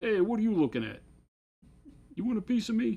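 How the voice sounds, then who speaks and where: The voice is a put-on character voice. It moves at a very fast pace. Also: man, high pitch for a man. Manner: tough, confrontational.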